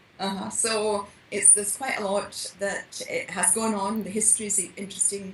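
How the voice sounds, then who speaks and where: Over noticeable background noise, a woman with a Scottish accent talks at a medium pitch. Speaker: mystery novelist. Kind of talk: podcast interview answer.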